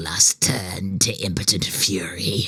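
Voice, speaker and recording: A man hisses in a put-on character voice. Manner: self-satisfied.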